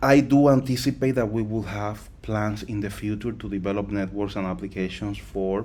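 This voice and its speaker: Speaking at a moderate pace with hardly any pauses, a man with a non-native accent has a fairly low pitch, a dark, mellow tone and ordinary pitch variation. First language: not English. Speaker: crypto project founder. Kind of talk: live Q&A session. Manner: halting, with fillers and repetitions.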